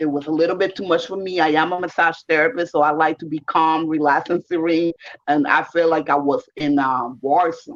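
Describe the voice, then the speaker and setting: Fairly quick speech in a Caribbean accent. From Puerto Rico. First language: Spanish. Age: 50s. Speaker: volunteer translator, massage therapist. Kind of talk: casual chat.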